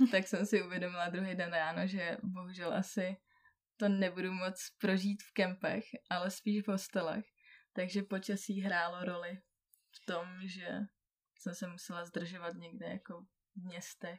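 A woman's flat, monotone delivery at a moderate pace, with big swings in loudness. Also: medium pitch for a woman. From Czechia, Karlovy Vary. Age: 20s. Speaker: traveller. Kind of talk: casual chat. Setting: in person, sitting beside the host.

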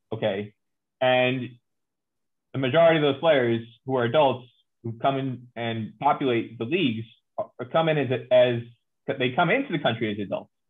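At a moderate pace, a man speaks with ordinary pitch variation at a medium pitch. He leaves long, frequent pauses. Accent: New Jersey. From New Jersey, US. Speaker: cricket journalist. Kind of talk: interview chat. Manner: animated, talkative.

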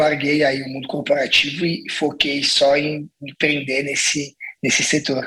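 This man has a normal speaking voice, pitched fairly high and moving at a moderate pace. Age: 40s. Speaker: restaurant entrepreneur. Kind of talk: casual interview.

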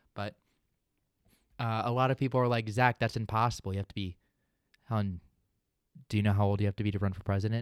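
A man's fairly low voice in a very clean recording with a silent background. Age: 20s. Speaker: podcast host. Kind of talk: casual chat.

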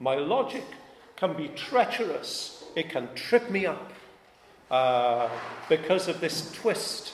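Very wide pitch swings in a Welsh accent, with audible room echo and noticeable background noise. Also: man. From Wales. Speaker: pastor. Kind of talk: sermon.

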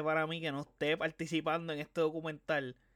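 An unremarkable speaking voice, a man's, fairly high-pitched and fairly quick, on a very clean recording with a silent background. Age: 20s. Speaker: podcast host. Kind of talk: casual solo commentary.

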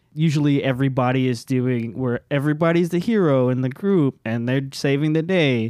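Talking at a fairly quick pace with hardly any pauses, a man with a fairly high pitch and a dark, mellow tone keeps very even loudness and ordinary pitch variation. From Cuban-American family. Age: 20s. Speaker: tabletop role-play podcaster. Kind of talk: casual chat.

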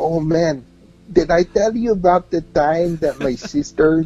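Speaking fairly slowly in an American accent, a man has a fairly high pitch and a dark, mellow tone. His pitch varies in an ordinary way. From New York. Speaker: independent musician and music journalist. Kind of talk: casual interview chat. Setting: remote online radio broadcast. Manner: relaxed, laughs often.

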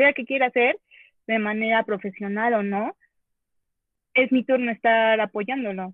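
She has a plain, everyday voice. This woman talks at a fairly slow pace, with a fairly high pitch and fairly even intonation. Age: 20s. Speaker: psychology graduate, guest. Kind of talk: casual group discussion.

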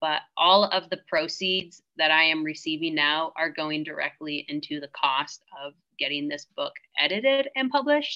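With an American accent, a woman speaks at a moderate pace in a very deep, low pitch and lively intonation. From Washington State, US. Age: 30s. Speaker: hunting guide and author. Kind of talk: interview.

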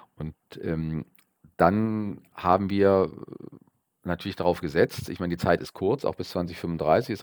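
Recorded very cleanly with a silent background and a dry, close sound with no echo, a man speaks at a moderate pace in a very deep, low voice with ordinary pitch variation. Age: 50s. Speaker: local politician and market research business owner. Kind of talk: podcast interview. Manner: hesitant, many filler sounds.

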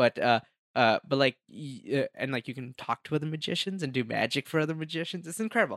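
A man with an Indian accent talks at a very fast pace and a fairly high pitch with lively intonation, recorded very cleanly with a silent background and a dry, close sound with no echo. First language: Hindi. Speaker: magician and filmmaker. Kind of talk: casual chat.

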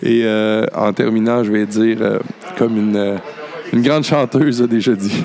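A man with a medium pitch talks at a fairly slow pace amid noticeable background noise. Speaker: podcast host. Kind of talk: casual chat. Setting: cabaret bar.

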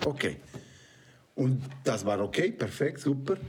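A man with a Spanish accent against noticeable background noise. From Mexico. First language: Spanish (speaking German). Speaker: film producer and director. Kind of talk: casual chat. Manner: halting.

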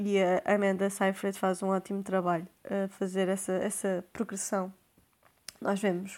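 A woman at a medium pitch and a fairly slow pace. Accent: European Portuguese. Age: 20s. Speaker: podcast host. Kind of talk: casual monologue.

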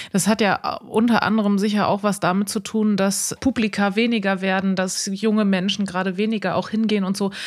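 In a Rhineland accent, a woman speaks at a medium pitch and moderate pace in a very clean recording with a silent background. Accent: picked up Rhineland. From Bremen, northern Germany. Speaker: podcast host. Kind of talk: casual chat.

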